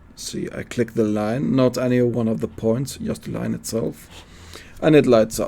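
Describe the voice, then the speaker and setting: A man with a Swedish accent, medium pitch, and a moderate pace. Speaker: CAD teacher. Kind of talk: tutorial. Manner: halting.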